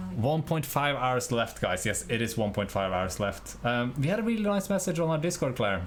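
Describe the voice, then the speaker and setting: With a Norwegian accent, a man keeps his loudness very even while his pitch swings very widely. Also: hardly any pauses. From Norway. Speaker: indie game developer and streamer. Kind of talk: casual live stream chat. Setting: live stream from home.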